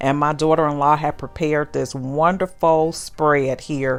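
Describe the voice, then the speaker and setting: A woman speaks with a very deep, low pitch. Her tone is warm and enthusiastic. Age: 60s. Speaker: lifestyle vlogger. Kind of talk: casual vlog narration. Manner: warm, enthusiastic.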